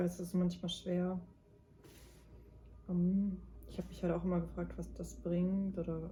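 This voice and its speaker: A woman talks at a fairly slow pace. She leaves long, frequent pauses. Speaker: tarot card reader, mystic guide. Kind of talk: tarot reading to camera. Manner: soft-spoken at times, quiet in the second pile.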